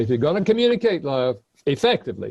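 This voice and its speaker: With music playing behind him, a man speaks very fast in a Southern US accent, his intonation lively. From US South. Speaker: author, relationship expert. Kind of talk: lecture.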